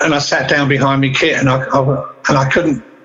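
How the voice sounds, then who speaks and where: Against noticeable background noise, a man with an Essex accent talks at a moderate pace and a fairly high pitch. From England, Southend-on-Sea, Essex. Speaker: rock drummer and studio producer. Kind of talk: interview.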